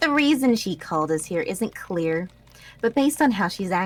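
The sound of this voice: This passage is read in an unforced reading voice.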